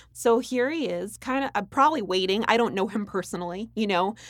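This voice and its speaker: This is an unremarkable speaking voice with lively intonation. The recording is very clean, with a silent background. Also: woman. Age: young. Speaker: actress. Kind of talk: interview. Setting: studio.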